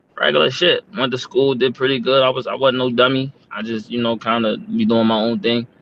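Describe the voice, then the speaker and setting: With an American accent, a man speaks fairly quickly at a medium pitch, his intonation lively and hardly any pauses breaking his speech over noticeable background noise. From Maryland, Prince George's County (US). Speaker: battle rapper. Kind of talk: casual interview chat.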